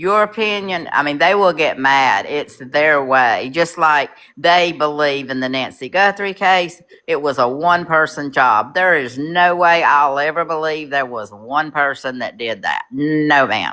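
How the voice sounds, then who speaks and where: This woman has a very deep, low voice and a Southern US accent. She speaks at a fairly slow pace with ordinary pitch variation and hardly any pauses. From North Carolina, Charlotte. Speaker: caller. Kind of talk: casual chat.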